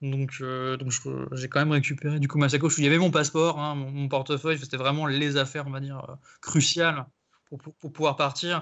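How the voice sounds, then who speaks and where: Fairly quick, monotone, flat speech from a man with a fairly high pitch. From Brittany, France (Saint-Malo). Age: 30s. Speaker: football supporter. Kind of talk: casual chat. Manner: halting, repeats words.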